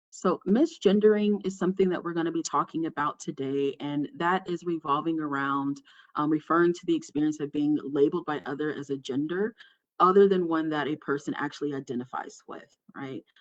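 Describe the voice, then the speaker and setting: Her pitch is very deep and low for a woman, and she talks at a fairly quick pace. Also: ordinary pitch variation. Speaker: workshop presenter on gender inclusion. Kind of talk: online workshop presentation. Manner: fast.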